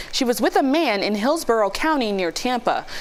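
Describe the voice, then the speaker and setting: A woman speaks at a fairly quick pace with a fairly high pitch and lively intonation, over noticeable background noise. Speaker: news anchor. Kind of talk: news reading.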